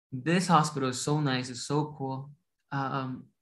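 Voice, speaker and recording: The speaker has a Latin American accent and talks at a fairly slow pace in a monotone, flat intonation. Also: man. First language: Spanish. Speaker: doctor. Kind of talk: interview. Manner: mumbles a little; halting, many restarts.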